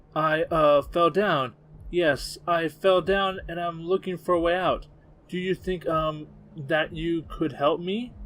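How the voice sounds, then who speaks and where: In a put-on character voice, a man speaks at a fairly slow pace and a high pitch. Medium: read story. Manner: stammering, nervous.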